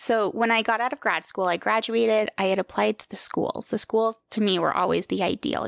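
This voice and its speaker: With an American accent and a fairly high pitch, a woman talks at a fairly quick pace with vocal fry, the sound dry and close with no echo. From New York, Hudson Valley. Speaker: speech-language pathologist. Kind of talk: casual interview.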